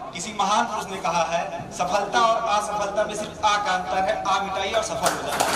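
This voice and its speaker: A man speaks at a fairly slow pace with a high pitch. His intonation stays fairly even over noticeable background noise. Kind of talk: motivational speech. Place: hall.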